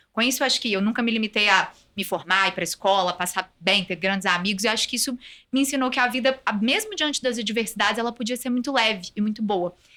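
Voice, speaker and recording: A woman's fairly high, bright, sharp voice at a very fast pace with ordinary pitch variation. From Brazil, Minas Gerais (Belo Horizonte). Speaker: compliance executive, lawyer. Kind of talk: podcast interview.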